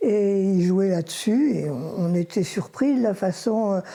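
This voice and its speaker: A woman speaks at a very slow pace with a dark, mellow tone. Her pitch is medium, with ordinary pitch variation. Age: 80s+. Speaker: retired schoolteacher, mother of the subject. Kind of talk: documentary interview.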